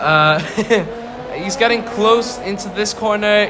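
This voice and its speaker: A high-pitched man at a moderate pace amid noticeable background noise. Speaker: video game race commentator. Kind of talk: live commentary. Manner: halting, stuttering.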